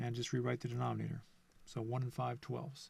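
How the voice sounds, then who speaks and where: A man with a somewhat breathy, medium-pitched voice talks at a moderate pace. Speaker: math teacher. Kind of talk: lecture. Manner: halting.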